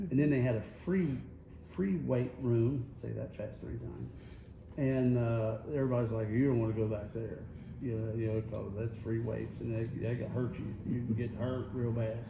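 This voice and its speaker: In a North Carolina accent, a man with a medium-pitched voice talks at a moderate pace with ordinary pitch variation, and audible room echo can be heard. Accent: Southern US (North Carolina). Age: 60s. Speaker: radio host. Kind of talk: casual chat. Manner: animated.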